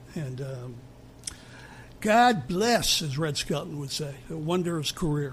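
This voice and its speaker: A man's fairly high, somewhat breathy voice with lively intonation, a very slow pace, and long, frequent pauses. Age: 60s. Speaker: music podcast co-host. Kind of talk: casual chat. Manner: animated.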